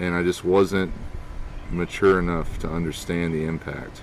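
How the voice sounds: A man speaks with a low pitch and fairly even intonation. His pace is moderate.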